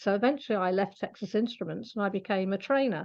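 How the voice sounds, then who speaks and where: A woman with a British accent against a quiet background. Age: 60s. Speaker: animal communicator. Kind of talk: interview. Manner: hesitant, with fillers.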